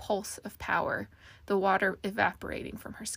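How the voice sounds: What you hear is a natural reading voice. That is the whole delivery.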